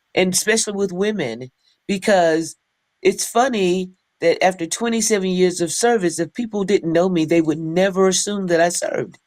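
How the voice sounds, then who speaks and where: On a very clean recording with a silent background, a woman with a normal speaking voice and an American accent talks at a moderate pace, using a medium pitch and ordinary pitch variation. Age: 60s. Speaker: army veteran, nonprofit founder. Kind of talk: interview.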